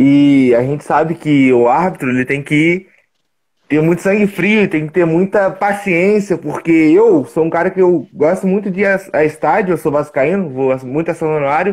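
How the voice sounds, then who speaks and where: A man talks at a moderate pace in a high pitch. His loudness stays very even, with ordinary pitch variation. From Minas Gerais, Brazil (Juiz de Fora). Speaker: sports channel interviewer. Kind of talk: interview, casual chat. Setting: video call, live stream.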